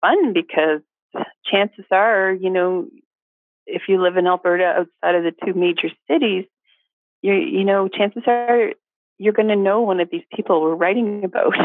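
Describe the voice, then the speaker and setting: A woman speaks in a Canadian accent at a fairly slow pace. Her pitch is medium, with ordinary variation. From Atlantic Canada, New Brunswick. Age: 50s. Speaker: food tour business owner and cookbook author. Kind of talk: casual interview.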